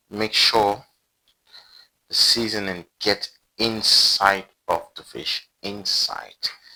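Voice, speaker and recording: A man with a non-native accent speaks very slowly in a monotone, flat intonation, leaving long, frequent pauses. His tone is bright and sharp, and his loudness swings widely. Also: fairly low pitch for a man. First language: not English. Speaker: cooking video creator. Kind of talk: cooking tutorial. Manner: casual, chatty.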